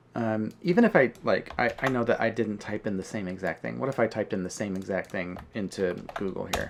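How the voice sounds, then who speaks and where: A man talks at a fairly quick pace in a fairly low pitch. Noticeable background noise sits behind him. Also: ordinary pitch variation, hardly any pauses. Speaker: 3D artist. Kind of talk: casual tutorial talk to camera. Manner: casual, hesitant with fillers.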